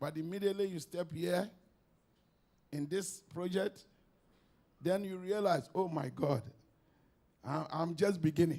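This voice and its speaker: Speaking at a fairly slow pace with long, frequent pauses, a man uses a high pitch with ordinary variation and a dark, mellow tone. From Ghana. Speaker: visiting devotee. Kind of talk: testimony speech.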